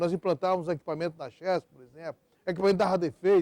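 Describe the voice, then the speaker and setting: A man with a fairly high pitch has a dark, mellow tone. The sound is dry and close with no echo. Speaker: electric power sector executive. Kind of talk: oral history interview. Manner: halting, with many fillers and repetitions.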